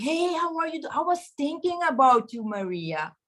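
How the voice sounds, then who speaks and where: A woman with a non-native accent speaks in a bright, sharp tone. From Caribbean. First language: not English. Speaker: network marketing member. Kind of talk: testimony. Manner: animated.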